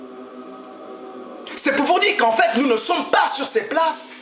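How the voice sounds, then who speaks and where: A man speaks at an extremely high pitch, with audible echo from the room. Music plays in the background. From Gabon. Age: 70s. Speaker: freemason speaker. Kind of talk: address to an audience.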